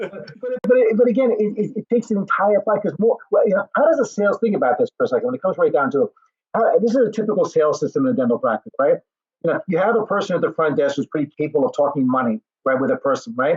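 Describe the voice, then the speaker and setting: A high-pitched male voice, very fast, with very wide pitch swings. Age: 70s. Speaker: dental practice coach. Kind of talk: casual chat. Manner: animated.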